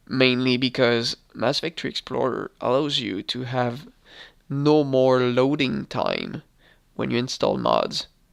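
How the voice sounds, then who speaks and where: A man talks at a fairly slow pace over a quiet background. The sound is dry and close, with no echo. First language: not English. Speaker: gaming YouTuber. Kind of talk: gameplay tutorial commentary. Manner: hesitant, with fillers.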